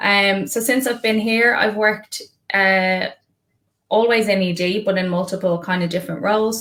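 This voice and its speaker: A woman speaks in an Irish accent at a moderate pace. Her pitch varies in an ordinary way. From Ireland. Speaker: emergency nurse manager. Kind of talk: casual interview.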